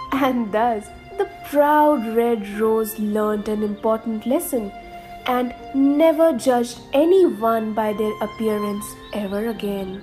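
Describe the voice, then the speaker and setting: Music plays behind a woman speaking at a very slow pace. Her voice is fairly high, with lively intonation. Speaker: radio jockey; voice-over artist. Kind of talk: children's story narration.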